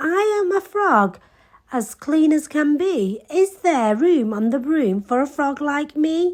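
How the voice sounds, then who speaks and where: Using a put-on character voice, a woman talks at a fairly slow pace and a high pitch. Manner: polite, cheerful.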